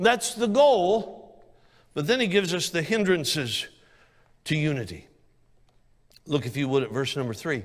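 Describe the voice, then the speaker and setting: The animated voice makes very wide pitch swings, broken by long, frequent pauses over a quiet background. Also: man, high pitch for a man, moderate pace. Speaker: evangelist preacher. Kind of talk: sermon. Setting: church. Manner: animated, emphatic pulpit delivery with repetition. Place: church. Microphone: handheld.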